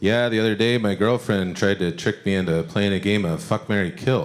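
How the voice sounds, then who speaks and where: There is noticeable background noise. A man with a fairly low voice speaks with lively intonation. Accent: Michigan. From Michigan, Detroit. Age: 40s. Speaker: comedian. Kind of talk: stand-up. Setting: stage with audience. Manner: casual, halting with fillers.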